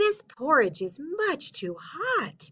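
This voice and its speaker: A female-sounding, squeaky put-on character voice sits high in pitch for a woman, with very wide pitch swings. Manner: sweet.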